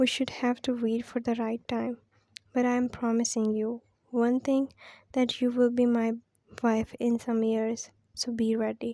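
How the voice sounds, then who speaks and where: A woman talks at a fairly slow pace with a non-native accent. Her intonation stays monotone and flat. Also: fairly high pitch for a woman. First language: not English. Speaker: fan fiction narrator. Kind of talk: reading aloud a fan fiction story. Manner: halting with self-corrections.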